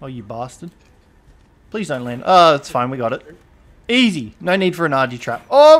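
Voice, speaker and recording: Speaking at a moderate pace in an Australian accent, this voice has lively intonation, big swings in loudness, and long, frequent pauses. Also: man, fairly high pitch for a man. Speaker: gaming streamer. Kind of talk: casual chat. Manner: animated.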